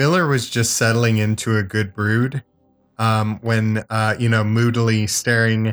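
A text read out plainly.

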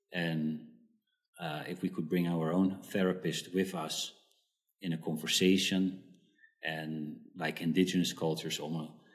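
With a Dutch accent, a man speaks at a moderate pace with fairly even intonation. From Netherlands. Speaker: psychotherapist. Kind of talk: interview. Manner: halting, many fillers.

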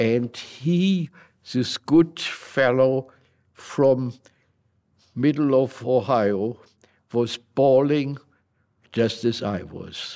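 In a German accent and a dark, mellow tone, the voice moves at a very slow pace with long, frequent pauses and ordinary pitch variation. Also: man, medium pitch for a man. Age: 80s+. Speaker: war veteran. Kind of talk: interview. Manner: animated.

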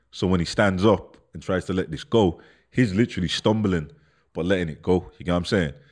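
A man's very deep, low voice at a fairly quick pace, relaxed in tone, on a very clean recording with a silent background. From Birmingham, England. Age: 30s. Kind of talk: casual chat, storytelling interview. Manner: relaxed, conversational, heavy slang, swearing.

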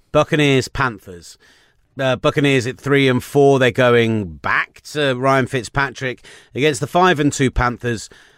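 With a British accent, a man speaks at a medium pitch with ordinary pitch variation. The recording is very clean, with a silent background and a dry, close sound with no echo. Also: fairly slow pace. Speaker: NFL podcast host. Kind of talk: casual sports chat. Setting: studio.

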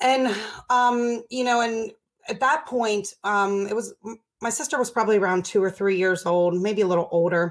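A woman speaks with an unremarkable speaking voice, keeping a moderate pace and ordinary pitch variation. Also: fairly high pitch for a woman, very clean recording, silent background. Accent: American. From Baltimore, Maryland, US. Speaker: addiction recovery nonprofit director. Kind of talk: interview, personal recovery story.

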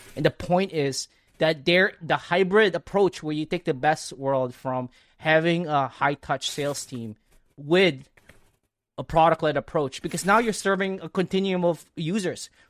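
A man speaks in a normal speaking voice at a moderate pace, with a fairly high pitch and ordinary pitch variation. The recording is very clean with a silent background, and the sound is dry and close with no echo. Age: 30s. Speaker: author and growth marketer. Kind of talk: casual interview.

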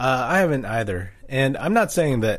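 A man's intonation is lively and his somewhat breathy delivery keeps a moderate pace. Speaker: podcast host. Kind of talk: casual sports chat.

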